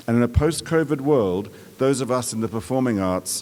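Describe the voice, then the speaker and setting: A man with an Australian accent, medium pitch and lively intonation, at a moderate pace. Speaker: performing arts executive, commencement speaker. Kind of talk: commencement address. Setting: outdoor amphitheater with audience.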